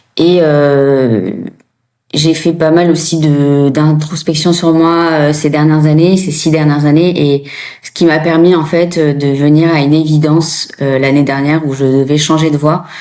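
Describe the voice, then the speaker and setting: Monotone, flat intonation comes at a fairly slow pace, with audible room echo. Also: woman, very deep, low pitch for a woman. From France. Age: 30s. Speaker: former nurse turned coach. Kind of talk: interview testimony. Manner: hesitant, many fillers.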